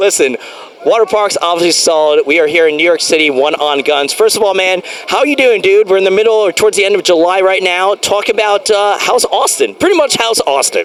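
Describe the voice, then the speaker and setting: An animated man talks at a fairly quick pace in a high-pitched voice, his loudness very even. Background noise can be clearly heard. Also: ordinary pitch variation. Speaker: interview show host. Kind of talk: casual interview chat. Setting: outdoors in a city park. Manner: fast.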